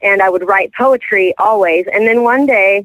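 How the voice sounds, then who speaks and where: A woman speaks at a medium pitch with ordinary pitch variation. Her pace is moderate. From Texas (Houston). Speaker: country singer-songwriter. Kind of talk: radio interview. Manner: halting, many fillers.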